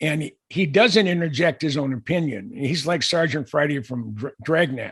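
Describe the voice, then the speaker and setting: A man is talking. Vocal fry runs through his voice. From US West, California Bay Area. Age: 70s. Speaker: aviation author and researcher. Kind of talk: podcast interview. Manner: halting, many restarts.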